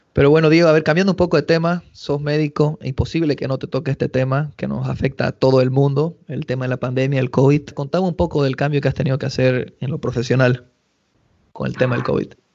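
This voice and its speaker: A man at a very fast pace, fairly high in pitch, with fairly even intonation. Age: 30s. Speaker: podcast host. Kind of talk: casual interview.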